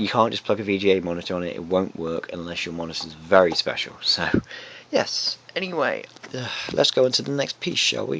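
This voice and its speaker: Soft-spoken and fairly low-pitched, a man talks at a moderate pace with ordinary pitch variation. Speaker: retro arcade hobbyist video maker. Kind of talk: tutorial. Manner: soft-spoken, keeping quiet late at night; halting, many fillers.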